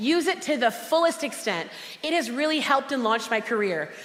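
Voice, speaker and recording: Loud and high-pitched, a woman speaks with lively intonation. Her pace is fairly quick, with noticeable background noise. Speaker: motivational speaker and cookbook author. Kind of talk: motivational conference talk. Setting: stage with audience. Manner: animated.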